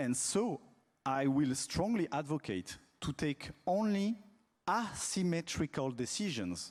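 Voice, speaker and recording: Very slow speech in a French accent, with very wide pitch swings and very even loudness. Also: man, fairly high pitch for a man. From France. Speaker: telecom regulator, conference panelist. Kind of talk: panel talk. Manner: halting, frequent fillers and repetitions.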